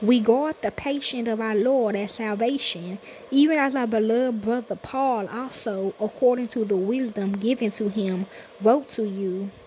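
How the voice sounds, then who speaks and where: At a moderate pace, a woman with a plain, everyday voice talks at a fairly high pitch with ordinary pitch variation. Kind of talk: sermon / scripture reading. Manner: casual, conversational, preacher-like.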